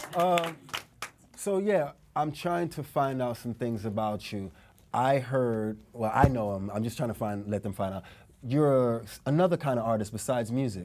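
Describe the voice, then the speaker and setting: Speaking at a moderate pace, a man with a medium-pitched voice uses lively intonation. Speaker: podcast host. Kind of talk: casual interview. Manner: upbeat, energetic.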